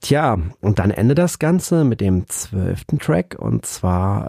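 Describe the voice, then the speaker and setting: The voice is very slow, with a dark, mellow tone. It sounds somewhat breathy on a very clean recording with a silent background. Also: man. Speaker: music podcast host. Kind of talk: solo album review. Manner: hesitant with many fillers.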